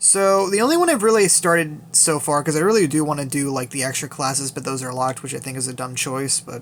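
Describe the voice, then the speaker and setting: This man's fairly high pitch moves with ordinary variation. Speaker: gaming YouTuber. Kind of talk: game account showcase. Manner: fast; casual, filler-heavy.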